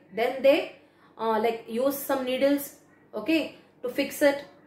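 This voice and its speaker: A woman with a high voice talks at a moderate pace, her intonation fairly even. Some room echo can be heard. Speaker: teacher. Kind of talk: lecture. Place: home room. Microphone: phone near.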